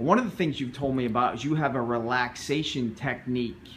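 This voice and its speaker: With an unremarkable speaking voice, a man talks at a moderate pace and uses ordinary pitch variation. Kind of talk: interview questions.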